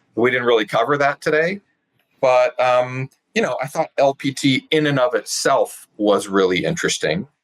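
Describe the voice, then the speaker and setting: A man with an American accent and a plain, everyday voice speaks at a moderate pace with medium pitch and lively intonation. His loudness stays very even, and the sound is dry and close with no echo. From California. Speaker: sales trainer. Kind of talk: interview conversation.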